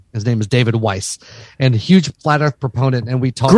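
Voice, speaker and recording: A dry, close recording without any echo. There is some breathiness in the voice. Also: man. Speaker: podcast co-host. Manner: casual, crude, self-deprecating humor.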